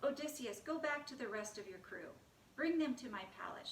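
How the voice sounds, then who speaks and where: A woman performs a put-on character voice at high pitch. She moves at a fairly quick pace. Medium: read story.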